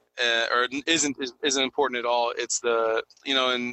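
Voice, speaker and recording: A man's monotone, flat intonation at a medium pitch. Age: 30s. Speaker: podcast host. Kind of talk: casual chat. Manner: halting, many fillers and repeats.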